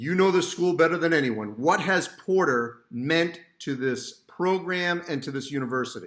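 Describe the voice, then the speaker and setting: A plain, everyday voice from a man, fairly high in pitch, at a moderate pace with hardly any pauses. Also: ordinary pitch variation. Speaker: sports journalist. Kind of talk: interview questions. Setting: video call.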